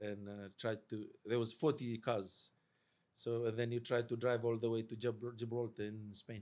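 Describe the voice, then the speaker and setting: Here a man speaks at a medium pitch. His intonation is monotone and flat. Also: moderate pace. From Fiji. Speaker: army veteran, veterans support worker. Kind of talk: podcast interview.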